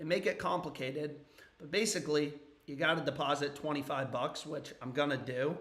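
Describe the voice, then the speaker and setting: A man's fairly high voice with fairly even intonation, audible room echo, and noticeable background noise. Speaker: sports betting streamer. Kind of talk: casual livestream commentary.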